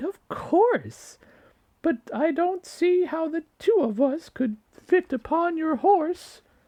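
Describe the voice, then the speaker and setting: A man puts on a squeaky character voice at an extremely high pitch, talking at a very slow pace. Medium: read story.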